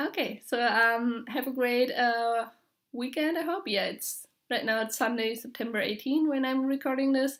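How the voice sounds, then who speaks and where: A woman speaks with a German accent at a high pitch. Her moderate pace comes through on a very clean recording with a silent background. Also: ordinary pitch variation. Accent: German accent, described as harsh. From Germany. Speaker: knitting podcaster. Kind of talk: casual vlog monologue. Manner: halting, many filler words.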